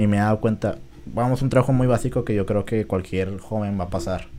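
A man talks in a plain, everyday voice. His pitch is fairly low and his pace fairly quick. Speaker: podcast host. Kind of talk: casual chat.

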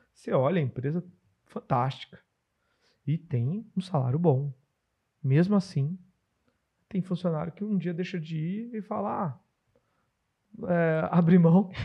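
A man talks fairly slowly, with long, frequent pauses. His voice is high-pitched with a dark, mellow tone and ordinary pitch variation. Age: 40s. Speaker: podcast host and business consultant. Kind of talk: casual podcast chat.

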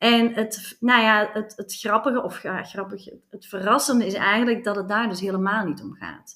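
Recorded very cleanly against a silent background, a woman talks at a moderate pace in a bright, sharp tone, with hardly any pauses and big swings in loudness. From Flanders, Belgium. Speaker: commercial director. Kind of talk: interview. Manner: energetic.

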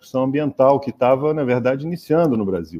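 A man's voice with a dark, mellow tone. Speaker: professor. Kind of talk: interview.

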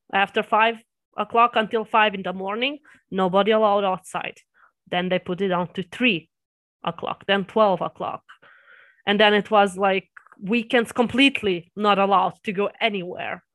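A woman with a Serbian accent talks at a moderate pace and medium pitch, with fairly even intonation and long, frequent pauses, in a very clean recording with a silent background. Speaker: anime reaction YouTuber. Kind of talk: casual interview.

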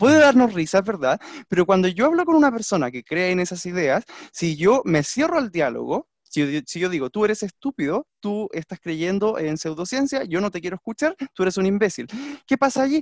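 Over a quiet background, a man with a high pitch makes very wide pitch swings, the sound dry and close with no echo. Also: moderate pace. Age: 30s. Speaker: language teacher, podcast co-host. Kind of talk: casual discussion.

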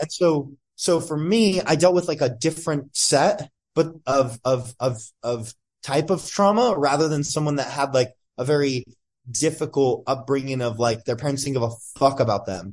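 A man speaks at a fairly high pitch with ordinary pitch variation. His voice is somewhat breathy and his pace moderate. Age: 20s. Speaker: entrepreneur and performance coach. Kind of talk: casual interview. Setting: podcast.

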